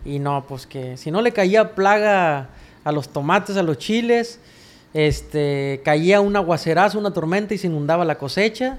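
The speaker's pace is fairly slow. The intonation is lively. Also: man, high pitch for a man. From Mexico, Sinaloa. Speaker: songwriter and singer. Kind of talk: casual interview chat. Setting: his apartment studio.

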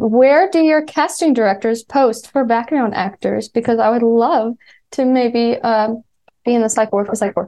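Speaking with a slight Appalachian accent, a woman with a fairly high pitch keeps ordinary pitch variation and very even loudness. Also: moderate pace. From West Virginia. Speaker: fan.

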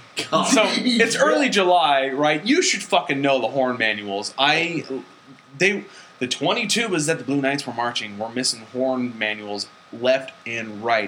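Against noticeable background noise, a man speaks at a moderate pace in a medium pitch with ordinary pitch variation. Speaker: podcast host. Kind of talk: casual comedic banter podcast.

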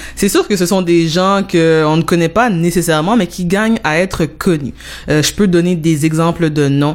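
A woman's plain, everyday voice, fairly low in pitch, at a moderate pace with ordinary pitch variation and very even loudness. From Montreal-Nord, Quebec. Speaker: radio show host. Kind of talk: interview. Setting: studio.

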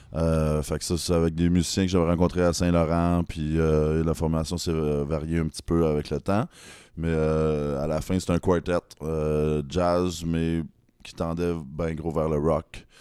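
This man's voice is very deep and low, with a dark, mellow tone and monotone, flat intonation. He speaks fairly slowly on a very clean recording with a silent background. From Rouyn-Noranda, Quebec. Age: 30s. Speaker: singer-songwriter. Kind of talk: casual chat. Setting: apartment.

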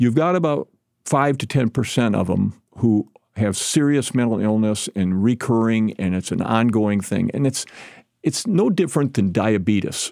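On a very clean recording with a silent background, a man uses a normal speaking voice at a medium pitch, moving at a moderate pace with lively intonation. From southern Michigan, US. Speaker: retired state senator. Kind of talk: interview. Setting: studio.

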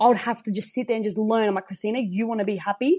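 An Australian accent marks this woman's fairly high voice, which has an animated tone and ordinary pitch variation. The background is quiet. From South Australia, Riverland. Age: 20s. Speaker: podcast guest sharing personal story. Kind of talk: casual interview, personal testimony. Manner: animated, high energy.

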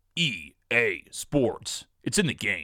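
A man in a put-on character voice. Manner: put-on announcer voice.

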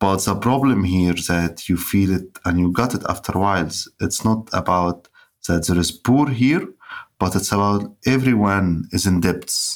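In an Arabic accent, a man talks at a fairly slow pace and fairly low pitch, his loudness very even and his pitch variation ordinary, on a very clean recording with a silent background. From Egypt. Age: 30s. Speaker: writer. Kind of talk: interview conversation. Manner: halting.

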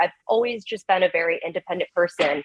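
At a fairly quick pace, a woman talks in an ordinary speaking voice at a medium pitch. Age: 30s. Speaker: stay-at-home mom seeking advice. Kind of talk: advice call.

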